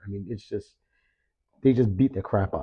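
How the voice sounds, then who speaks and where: This man's voice is somewhat breathy. His intonation stays lively. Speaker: toy collector and reviewer. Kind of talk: casual unboxing review. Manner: casual, rambling.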